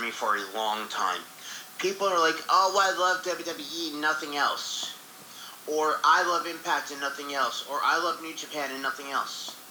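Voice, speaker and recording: Noticeable background noise surrounds a man speaking in a high pitch with lively intonation. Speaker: co-host. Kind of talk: casual chat.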